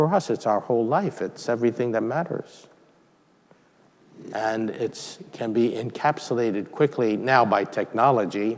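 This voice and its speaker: This man has a normal speaking voice, talking at a moderate pace and medium pitch. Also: ordinary pitch variation. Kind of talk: homily.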